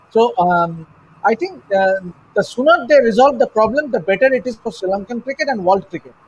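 A man talks fairly quickly in an extremely high pitch, his intonation lively. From India. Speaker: sports journalist. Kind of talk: panel discussion. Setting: video call. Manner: halting. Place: home room. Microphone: video call.

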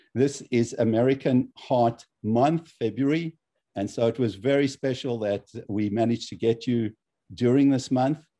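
A dark, mellow tone at a moderate pace, with fairly even intonation over a quiet background. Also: man. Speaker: cardiologist and lecture series host. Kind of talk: event moderation. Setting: video call. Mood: warm, appreciative. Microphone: video call.

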